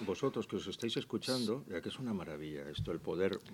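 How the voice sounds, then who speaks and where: This man's medium-pitched voice carries vocal fry and very wide pitch swings. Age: 60s. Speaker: radio news presenter. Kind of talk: interview answering children's questions. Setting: school room with live audience of children.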